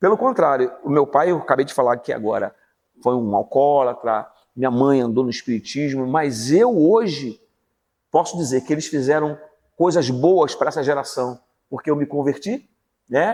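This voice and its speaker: With an unremarkable speaking voice, a man speaks at a moderate pace in a fairly high pitch with lively intonation. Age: 60s. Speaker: pastor and teacher. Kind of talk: interview testimony.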